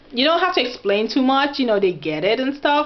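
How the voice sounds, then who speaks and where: Over noticeable background noise, a woman with a Nigerian accent speaks in an animated tone with a high pitch that swings very widely. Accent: Nigerian (Yoruba) English. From Nigeria, Oyo State (Yoruba). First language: Yoruba. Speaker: vlogger. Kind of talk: casual vlog talk.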